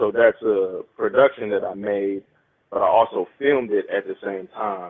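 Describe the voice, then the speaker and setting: Speech comes at a moderate pace. It carries a Southern US accent. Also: man. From West Tennessee (Dyersburg). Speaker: DJ and videographer. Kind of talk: casual chat. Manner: halting.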